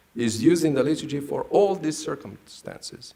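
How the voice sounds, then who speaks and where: A man with a fairly high pitch talks at a moderate pace, his pitch swinging very widely, with audible room echo around him. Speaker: priest and theology scholar. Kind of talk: lecture. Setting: stage with audience. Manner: formal.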